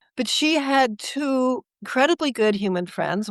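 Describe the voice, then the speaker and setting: A woman's voice with lively intonation, dry and close with no echo, set against a quiet background. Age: 70s. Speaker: author and animal behaviorist. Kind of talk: interview.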